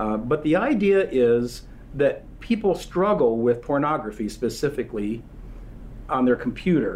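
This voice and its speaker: Fairly slowly, a man with an ordinary speaking voice talks at a fairly high pitch with ordinary pitch variation. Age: 60s. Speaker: company founder. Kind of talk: interview. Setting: in-person at company headquarters.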